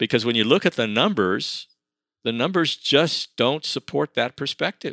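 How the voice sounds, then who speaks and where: In an American accent, a man speaks at a medium pitch with very wide pitch swings and a bright, sharp tone. The recording is very clean and dry, close with no echo, over a silent background. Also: moderate pace. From El Paso, Texas. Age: 80s+. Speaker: academic researcher. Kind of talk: interview. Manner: halting.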